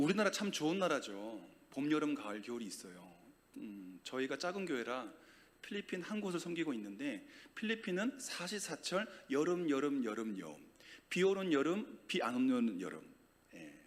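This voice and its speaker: A loud man talks at a moderate pace with a fairly high pitch and very wide pitch swings. Audible room echo surrounds his voice. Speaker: guest preacher. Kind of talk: sermon. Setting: church. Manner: animated.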